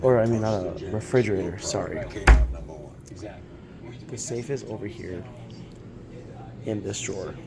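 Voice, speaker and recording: A man speaks with long, frequent pauses and ordinary pitch variation amid noticeable background noise. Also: moderate pace. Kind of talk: casual talk to camera, hotel room review.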